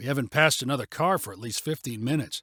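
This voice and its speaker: A man's put-on character voice, rumbling and very fast, at medium pitch with ordinary pitch variation and big swings in loudness, on a very clean recording with a silent background. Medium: read story. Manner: grumbling, reluctant.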